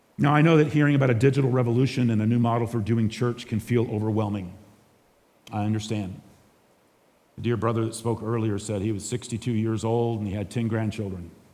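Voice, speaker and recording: There is audible room echo as a man speaks at a very fast pace. His medium-pitched voice has a dark, mellow tone and fairly even intonation. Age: 60s. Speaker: pastor. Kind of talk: conference talk.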